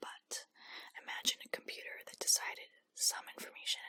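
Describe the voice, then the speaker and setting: Someone is whispering. The pace is fairly quick. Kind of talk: whispered ASMR book reading for sleep. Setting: close-up microphone. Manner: whispered, quiet, relaxing.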